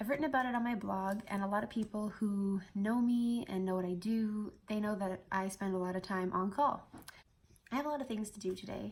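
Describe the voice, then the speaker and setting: Fairly quick, somewhat breathy speech with fairly even intonation. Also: woman, medium pitch for a woman. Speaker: flight attendant. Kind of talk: casual talk to camera.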